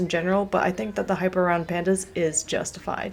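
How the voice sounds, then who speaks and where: The voice is soft-spoken and very fast. Noticeable background noise runs underneath it. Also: woman. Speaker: travel vlogger. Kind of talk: scripted narration.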